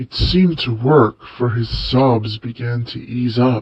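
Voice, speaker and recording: Intonation stays fairly even while the pace remains fairly slow. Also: man, medium pitch for a man. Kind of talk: overwrought fanfic reading. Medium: read story.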